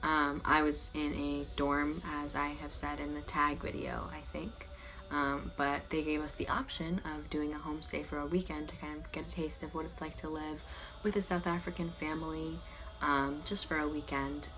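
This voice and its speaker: A soft-spoken woman talks at a moderate pace. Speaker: student vlogger. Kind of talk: casual talk to camera.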